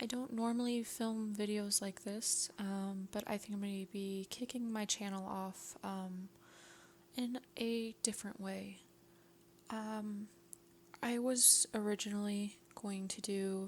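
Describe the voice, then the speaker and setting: Very slowly and in a flat monotone, a woman talks at a medium pitch with a somewhat breathy voice. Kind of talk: ASMR film review. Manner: whispered, soft-spoken.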